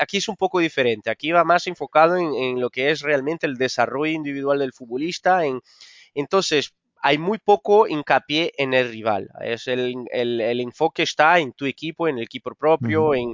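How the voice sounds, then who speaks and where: A man with a Portuguese accent, a fairly high pitch, ordinary pitch variation and a moderate pace. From Brazil. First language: Portuguese (speaking Spanish). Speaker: football coach. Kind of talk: interview. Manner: halting, with many repetitions.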